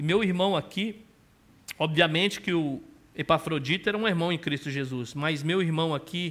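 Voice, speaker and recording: A man's fairly high voice in a Brazilian accent, at a moderate pace with ordinary pitch variation. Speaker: pastor. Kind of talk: sermon.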